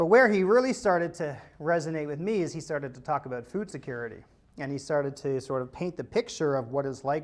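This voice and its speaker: A man with a Canadian accent talks at a fairly quick pace in fairly high pitch. He has an unremarkable speaking voice, and the background is quiet. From Ontario, suburb of Toronto. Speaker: entrepreneur. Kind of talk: interview talk. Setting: video call. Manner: casual, filler-heavy.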